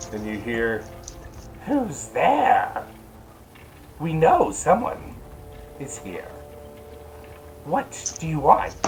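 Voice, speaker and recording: Using a put-on character voice, a man speaks at a very slow pace amid clear background noise. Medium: actual play. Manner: suspicious, scolding.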